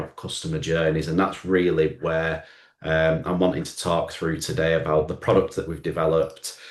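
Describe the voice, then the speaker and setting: This is a man speaking. He talks with a Lancashire accent. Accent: Oldham. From northern England, Oldham. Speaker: marketing agency owner. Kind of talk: business presentation.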